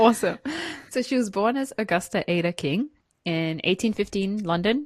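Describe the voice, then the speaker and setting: Speaking at a fairly slow pace, a woman has a non-native accent and ordinary pitch variation. The background is quiet. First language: not English. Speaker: podcast co-host. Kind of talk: casual podcast chat.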